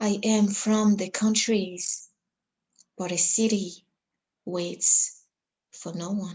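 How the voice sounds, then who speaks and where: Very slowly and with long, frequent pauses, a woman speaks in a Congolese accent, her medium-pitched voice somewhat breathy and her intonation monotone and flat. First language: Lingala. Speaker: poet. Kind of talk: poetry reading; introduction.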